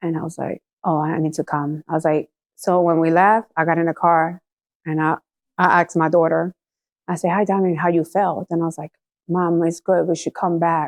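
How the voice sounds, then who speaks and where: A woman with a Puerto Rican accent speaks at a fairly low pitch. The sound is dry and close with no echo, over a quiet background. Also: moderate pace. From Puerto Rico. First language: Spanish. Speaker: church member giving testimony. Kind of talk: testimony. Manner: halting.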